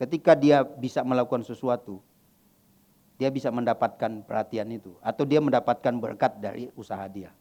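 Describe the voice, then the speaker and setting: This man has a dark, mellow tone at a medium pitch, with ordinary pitch variation. He talks at a fairly quick pace, and his loudness swings widely. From West Kalimantan, Indonesia. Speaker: pastor. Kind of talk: sermon Q&A. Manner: casual, conversational.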